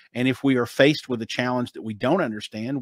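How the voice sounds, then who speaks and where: In a Southern US accent, a man speaks at a very fast pace and medium pitch with fairly even intonation, the sound dry and close with no echo. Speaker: author, marketing expert. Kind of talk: interview answer. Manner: casual, confident.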